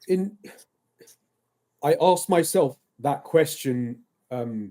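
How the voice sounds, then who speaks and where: The voice has a dark, mellow tone and an English accent. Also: man. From England. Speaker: football referee. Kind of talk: casual chat.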